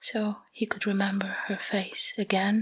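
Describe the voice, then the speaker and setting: A soft-spoken woman is whispering. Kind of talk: ASMR sleep story roleplay. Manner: whispered, soft-spoken.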